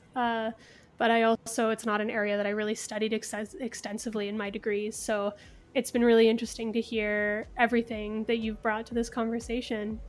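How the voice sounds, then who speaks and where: A fairly quick, monotone delivery with flat intonation in a Canadian accent. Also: woman, fairly high pitch for a woman. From Kingston, Ontario. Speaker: podcast host. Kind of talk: interview.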